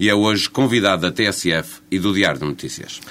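With a normal speaking voice, a man talks at a moderate pace and a fairly low pitch, using ordinary pitch variation. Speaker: radio journalist. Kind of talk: interview; scripted narration.

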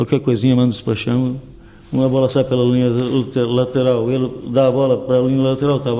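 A man talks at a moderate pace in a normal speaking voice, pitched in the medium range. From Portugal, Vila Real (Trás-os-Montes), raised in Rio de Janeiro until 15. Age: 60s. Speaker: former footballer, youth coach. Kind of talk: radio interview.

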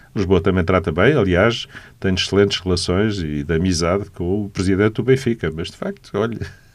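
Very deep and low in pitch, a man speaks at a fairly quick pace with ordinary pitch variation. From Portugal, Lisbon. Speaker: architect and city councillor. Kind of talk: radio interview.

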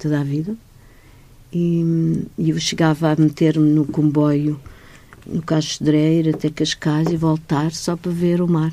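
A woman speaks at a very deep, low pitch in a dark, mellow tone. Her intonation is monotone and flat, her pace fairly slow. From Madeira, Portugal. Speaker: arts foundation director. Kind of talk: radio interview.

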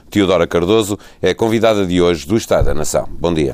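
At a very fast pace, a man talks in a fairly low-pitched voice. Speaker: radio host. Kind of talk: interview.

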